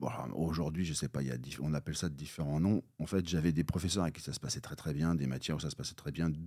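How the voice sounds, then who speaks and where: The voice has a dark, mellow tone with vocal fry. It moves at a very fast pace. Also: man, very deep, low pitch for a man, ordinary pitch variation. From Normandy, France (near Bayeux). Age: 50s. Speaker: entrepreneur, former trumpeter. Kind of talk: podcast interview.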